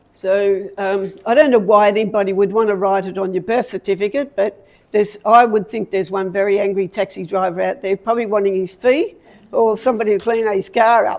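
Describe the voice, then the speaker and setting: A woman speaks at a medium pitch with an Australian accent. Her pace is fairly quick and her intonation fairly even. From Australia, Victoria (Melbourne area). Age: 70s. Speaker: community talk speaker. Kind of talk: personal life story talk. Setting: talk to a live audience with slides. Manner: halting.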